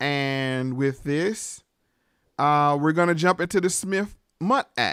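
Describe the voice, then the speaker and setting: Speaking with a Southern US accent, a man uses a bright, sharp tone at a fairly high pitch with ordinary pitch variation. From US South. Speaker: podcast host. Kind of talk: casual interview chat.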